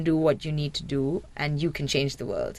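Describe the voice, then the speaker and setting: A woman with a Sri Lankan accent and a very deep, low pitch. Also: very clean recording, silent background. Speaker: marine biologist. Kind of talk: radio interview.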